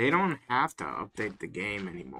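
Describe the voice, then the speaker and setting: His tone is bright and sharp, with vocal fry. The man's pitch sits at a medium level. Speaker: gaming streamer. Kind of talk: casual livestream chat. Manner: casual, filler-heavy.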